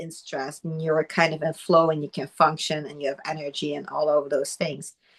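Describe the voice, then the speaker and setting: A woman with a non-native accent speaks at a moderate pace in a very deep, low pitch, barely pausing while her loudness swings widely. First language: not English. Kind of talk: casual chat.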